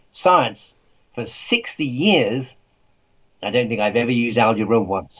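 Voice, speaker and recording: Using lively intonation, a man with an English accent talks at a moderate pace. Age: 80s+. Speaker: author and scientist. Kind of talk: interview.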